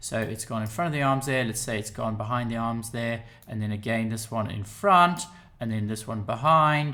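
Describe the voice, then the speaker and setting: Speaking at a moderate pace, a man uses a medium pitch with ordinary variation and a bright, sharp tone. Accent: English. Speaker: photoshop tutor. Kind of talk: software tutorial narration.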